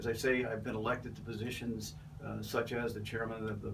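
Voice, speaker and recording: A man with vocal fry is heard in a room with audible echo. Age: 70s. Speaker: political candidate, retired Navy captain. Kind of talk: interview. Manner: halting, many fillers.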